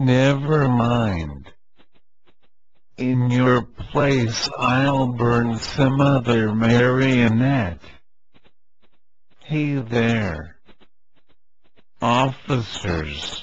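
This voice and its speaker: Using a put-on character voice at medium pitch, a man speaks at a very slow pace with long, frequent pauses over light background noise. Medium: read story. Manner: gruff.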